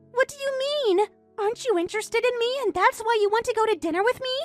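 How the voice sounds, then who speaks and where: A woman speaks very fast in a squeaky put-on character voice at an extremely high pitch, with faint music behind her and a dry, close sound with no echo. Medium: voice reel. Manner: whiny, self-absorbed.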